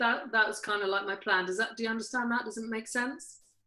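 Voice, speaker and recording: A woman speaks with a British accent. Her pitch is fairly high and her intonation fairly even. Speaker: podcast host and life coach. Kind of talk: casual chat. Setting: video call. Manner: halting, many fillers.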